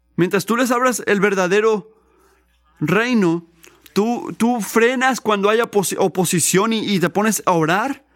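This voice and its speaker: A man speaks at a fairly slow pace in a high voice with ordinary pitch variation. His loudness stays very even. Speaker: preacher. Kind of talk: sermon. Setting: church. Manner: earnest, teaching-style preaching with emphatic repetition of key points; halting, with restarts and fillers.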